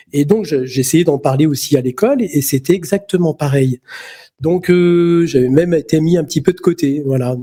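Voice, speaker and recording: In a dry, close recording with no echo, a man talks at a moderate pace in a fairly high, dark, mellow voice with ordinary pitch variation. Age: 60s. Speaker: magnetic healer. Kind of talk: interview storytelling. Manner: halting, many fillers and repetitions.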